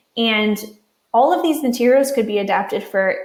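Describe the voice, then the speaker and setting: A woman with an American accent, fairly high pitch, ordinary pitch variation and a moderate pace, with audible room echo. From Western Pennsylvania. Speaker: university writing instructor. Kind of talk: conference presentation.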